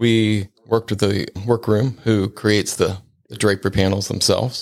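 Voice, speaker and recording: In an ordinary speaking voice with an American accent, a man talks at a fairly low pitch and moderate pace with fairly even intonation, the sound dry and close with no echo. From Ohio, Cincinnati. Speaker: window treatment expert. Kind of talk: casual interview.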